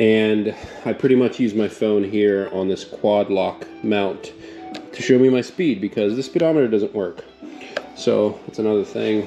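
Clear music plays behind a man with a fairly low pitch. He talks at a fairly slow pace with ordinary pitch variation. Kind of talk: casual vlog chat. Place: garage. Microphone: phone near.

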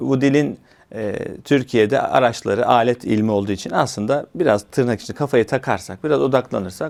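A man uses a normal speaking voice, moving at a moderate pace and varying his pitch in an ordinary way. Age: 40s. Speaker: TV and radio presenter. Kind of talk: interview. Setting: studio.

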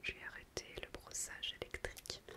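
Loud background noise fills the recording. A woman speaks over it at a very slow pace. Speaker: natural-care vlogger. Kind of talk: casual vlog chat. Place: bathroom. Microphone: phone near.

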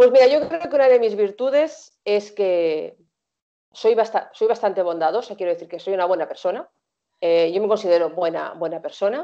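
A woman at a moderate pace, very wide pitch swings, against a quiet background. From Spain, Barcelona; Catalonia, Spain. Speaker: singer; interviewee. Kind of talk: interview. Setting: video call. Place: home room. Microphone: video call.

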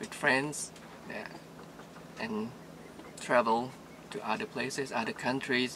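At a fairly slow pace with long, frequent pauses, a man speaks at a medium pitch in a bright, sharp tone.

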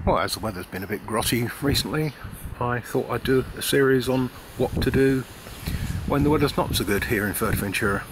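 Noticeable background noise sits behind a man who speaks at a fairly quick pace in a dry sound with no echo. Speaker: travel vlogger. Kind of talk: casual vlog chat. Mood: wry, mildly grumbling. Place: street. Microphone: phone near.

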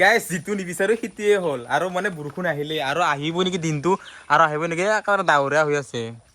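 Over noticeable background noise, a man with a fairly high voice speaks at a very fast pace with ordinary pitch variation. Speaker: vlogger. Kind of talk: casual vlog narration.

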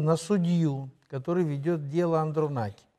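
A man talks fairly slowly, his pitch varying in an ordinary way, against a quiet background. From Moldova. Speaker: political commentator and show co-host; political commentator, show co-host. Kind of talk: studio political analysis talk show. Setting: studio. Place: studio. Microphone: lapel.

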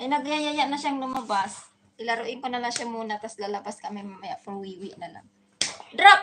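A woman with a high voice speaks in an animated tone at a moderate pace, her pitch swinging very widely and her loudness rising and falling a lot, over noticeable background noise. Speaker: vlogger, domestic worker. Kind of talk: casual livestream chat while playing with dog.

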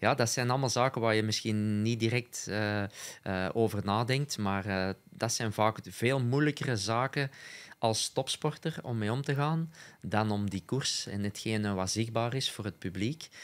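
Here a man speaks at a medium pitch. His pace is fairly slow, with ordinary pitch variation. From Belgium, Essen (Antwerp Kempen); Belgium. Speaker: former cyclocross rider and co-commentator; co-commentator. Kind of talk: casual chat. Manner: hesitant, many filler sounds. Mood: relaxed, smiling. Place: studio. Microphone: studio mic.

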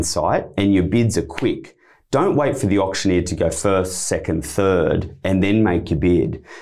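A confident, dark, mellow voice at a fairly slow pace with ordinary pitch variation, set against a quiet background. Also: man. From Australia. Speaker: auctioneer and real estate director. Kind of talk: interview answer, explaining auction tips. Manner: conversational, confident. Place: studio. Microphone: studio mic.

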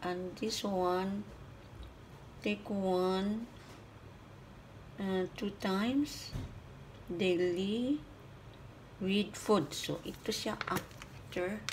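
A woman at a very slow pace with long, frequent pauses and fairly even intonation, over light background noise. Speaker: home vlogger. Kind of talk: casual vlog chat. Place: kitchen. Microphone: phone near.

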